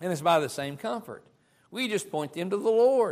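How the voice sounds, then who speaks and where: This man's voice has a bright, sharp tone and lively intonation. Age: 50s. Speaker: preacher. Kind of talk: sermon.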